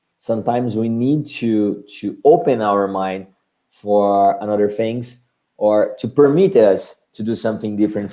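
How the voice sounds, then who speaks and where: Speaking at a fairly slow pace, a man has a Portuguese accent. His tone is dark and mellow. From Brazil. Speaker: marketing agency director. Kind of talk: webinar presentation and Q&A. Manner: halting.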